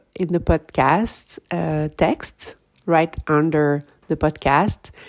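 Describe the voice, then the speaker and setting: Very slowly and in a flat monotone, a woman speaks with a French accent. The recording is very clean, with a silent background. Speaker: podcast host. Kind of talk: scripted intro and outro.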